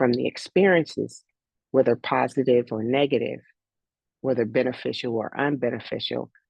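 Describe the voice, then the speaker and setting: Ordinary pitch variation marks a woman's very deep, low voice, which carries vocal fry. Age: 60s. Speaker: life coach and former athletics coach. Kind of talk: casual chat. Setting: video call.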